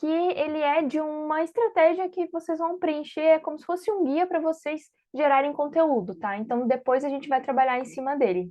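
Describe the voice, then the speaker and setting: A woman speaks at a moderate pace with hardly any pauses, her pitch high and her intonation lively. Her loudness swings widely. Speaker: online course instructor. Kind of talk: online class. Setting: video call.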